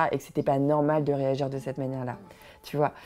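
The speaker is a woman. Music plays in the background. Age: 40s. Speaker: mother sharing personal story. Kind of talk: personal testimony. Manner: halting.

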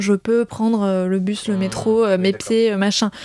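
Heard in a dry, close sound with no echo, a woman uses an ordinary speaking voice at medium pitch with fairly even intonation. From rural France, grew up on a farm. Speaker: host's girlfriend. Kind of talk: casual chat. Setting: at home.

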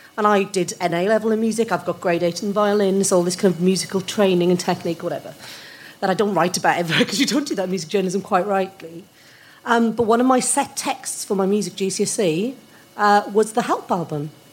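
A woman's fairly quick speech with ordinary pitch variation over noticeable background noise. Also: medium pitch for a woman. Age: 40s. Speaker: music journalist. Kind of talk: casual panel discussion.

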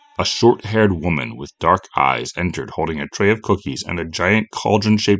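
An unforced reading voice moves through ordinary pitch variation.

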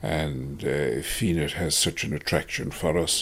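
With a Kerry accent, a man speaks in a very deep, low voice with vocal fry. His pitch varies in an ordinary way. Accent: Kerry Irish. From Ireland, Tralee, County Kerry. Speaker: retired tour operator. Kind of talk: interview. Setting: at home. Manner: halting, many hesitations.

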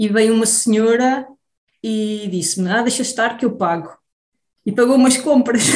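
A woman with a fairly high pitch speaks at a moderate pace with ordinary pitch variation and long, frequent pauses, and audible room echo. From Portugal, Beira Baixa. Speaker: immunologist researcher. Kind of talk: interview. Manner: halting.

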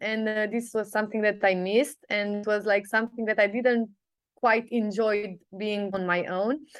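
In a Romanian accent, a woman speaks at a moderate pace with monotone, flat intonation. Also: fairly high pitch for a woman. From Sibiu, Romania. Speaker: business coach. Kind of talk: casual chat. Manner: hesitant, many fillers.

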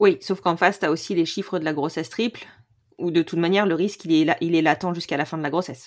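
At a very fast pace, a woman speaks at a fairly low pitch with fairly even intonation, in a very clean recording with a silent background. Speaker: podcast host and doula. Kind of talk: interview.

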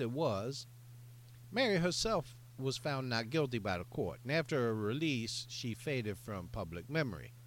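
A man's unremarkable speaking voice at a moderate pace, with lively intonation. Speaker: podcast co-host. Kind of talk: casual comedic chat.

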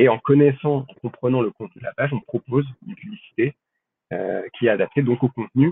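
A man's voice at a medium pitch. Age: 20s. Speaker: data scientist. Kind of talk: interview. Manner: halting.

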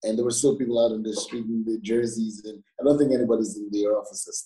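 A man's dark, mellow, somewhat breathy voice at medium pitch, very fast, with ordinary pitch variation. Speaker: football pundit. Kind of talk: casual chat.

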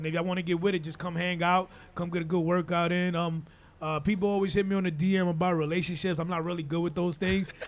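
Very fast and monotone, with flat intonation, a man speaks in a high pitch. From Dominican Republic. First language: Spanish. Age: 40s. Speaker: radio personality. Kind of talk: casual chat. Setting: studio.

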